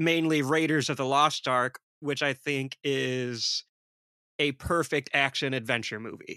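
Recorded very cleanly with a silent background and a dry, close sound with no echo, a man with an American accent speaks at a fairly slow pace, with fairly high pitch, a bright, sharp tone and fairly even intonation. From Detroit, US. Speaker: horror filmmaker and podcast host. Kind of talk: casual chat.

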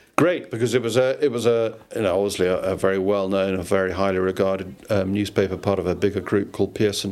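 With a southern English accent, a man talks at a very fast pace in a fairly low pitch and fairly even intonation. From southwest London, England. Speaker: former newspaper executive. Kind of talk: casual interview. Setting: host's house.

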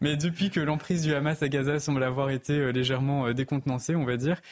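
A man with a normal speaking voice, fairly high in pitch, fairly even in intonation, at a fairly quick pace. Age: young. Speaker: opinion columnist. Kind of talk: televised panel debate.

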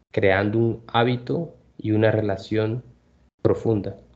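This is a man's voice at a medium pitch. Its tone is dark and mellow. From Colombia. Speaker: Spanish tutor and podcast host. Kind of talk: language lesson podcast.

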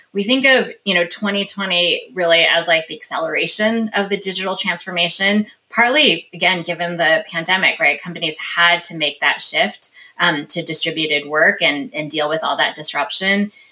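Over noticeable background noise, a woman speaks at a fairly low pitch with ordinary pitch variation. Her pace is moderate, with hardly any pauses. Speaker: company executive. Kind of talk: interview.

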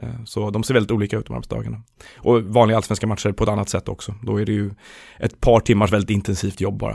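In a fairly low pitch with vocal fry, a man talks at a very fast pace in a monotone, flat intonation. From Sweden, Stockholm. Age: 20s. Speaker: football journalist. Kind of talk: casual chat.

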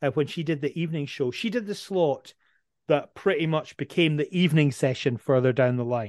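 A man with a Dundee accent speaks at a fairly quick pace with a fairly high pitch and lively intonation against a quiet background. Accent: Scottish (Dundee). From Scotland, Dundee. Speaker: radio presenter. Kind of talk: casual interview.

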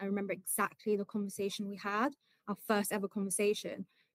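A woman speaks with a British accent. Her voice sits fairly high in pitch. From Britain. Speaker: ADHD coach. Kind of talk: casual chat.

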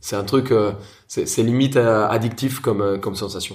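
A man with a Spanish accent, at a moderate pace and medium pitch, somewhat breathy, with ordinary pitch variation and audible room echo. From Colombia, Bogota. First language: Spanish (speaking French). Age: 30s. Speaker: chef and restaurateur. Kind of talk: interview.

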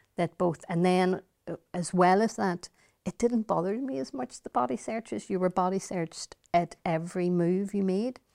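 With a Northern Irish accent, a woman speaks in a dark, mellow tone at medium pitch with ordinary variation, sounding dry and close with no echo. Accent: Derry Northern Irish. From Derry, Northern Ireland. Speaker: politician. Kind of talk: interview.

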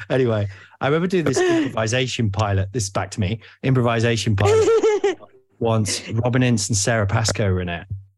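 A fairly quick, somewhat breathy male voice with an East Midlands accent. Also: medium pitch for a man, ordinary pitch variation, very clean recording, silent background. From Nottingham, England. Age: 40s. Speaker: podcast host. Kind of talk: casual chat.

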